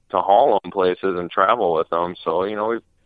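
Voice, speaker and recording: A man's very deep, low voice with a slight Upper Midwest accent, fairly even intonation and a moderate pace. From Wisconsin, US. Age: 20s. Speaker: off-road racer. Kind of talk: casual interview. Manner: many fillers, 'you know'.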